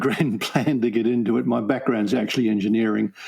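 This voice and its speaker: A man speaks at a moderate speed with noticeable background noise behind him. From New Zealand. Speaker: learning and development consultant and author. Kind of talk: podcast interview. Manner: hesitant, many fillers.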